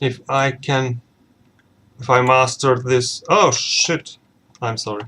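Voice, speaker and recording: A man at a medium pitch with a non-native accent, speaking at a very slow pace. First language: not English. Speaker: tech YouTuber. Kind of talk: tutorial. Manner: halting.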